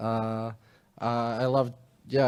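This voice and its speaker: Through noticeable background noise, a man with an Australian accent speaks at a medium pitch. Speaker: travel blogger. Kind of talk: panel discussion.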